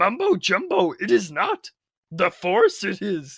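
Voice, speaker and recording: A man's delivery comes out fairly slowly. The voice he uses is a put-on character voice. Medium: read story. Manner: inverted word order, cryptic.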